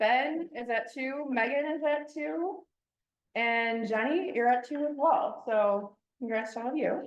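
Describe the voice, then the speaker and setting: A woman's loud, high-pitched voice with lively intonation. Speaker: club meeting leader. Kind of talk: meeting facilitation. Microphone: no microphone.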